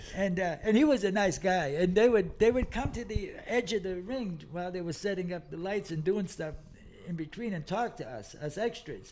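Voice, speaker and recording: A man speaks at a high pitch. His pace is moderate and his pitch variation ordinary. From Massachusetts, Lawrence (Boston area). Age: 70s. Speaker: comedian. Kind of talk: casual chat. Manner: animated.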